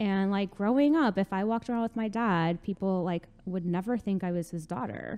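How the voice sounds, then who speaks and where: This speaker has an American accent and a dark, mellow tone. The pace is moderate with ordinary pitch variation and hardly any pauses. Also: woman, medium pitch for a woman. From New Jersey, North Bergen. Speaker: podcast guest. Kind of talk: casual interview.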